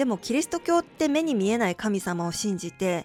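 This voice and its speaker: Over music in the background, a woman speaks at a fairly high pitch with very wide pitch swings. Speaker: channel owner who runs a witch and crystal shop. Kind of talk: casual talk to camera, spoken essay on spirituality.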